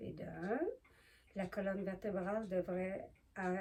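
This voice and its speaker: A woman talks at a very slow pace, her pitch shifting in an ordinary way. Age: 70s. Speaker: yoga demonstrator. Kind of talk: tutorial. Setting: living room at home. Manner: halting.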